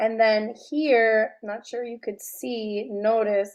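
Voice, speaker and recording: A woman talks at a very slow pace. Her fairly high voice stays monotone and flat. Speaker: high school psychology teacher. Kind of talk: recorded lecture. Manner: halting, many fillers.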